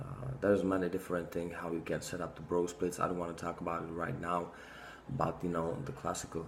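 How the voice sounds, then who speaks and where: A man with a non-native accent speaks at a fairly quick pace in a very deep, low pitch. His pitch variation is ordinary, and audible room echo surrounds him. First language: not English. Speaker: fitness vlogger. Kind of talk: casual monologue to camera. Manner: halting, many fillers.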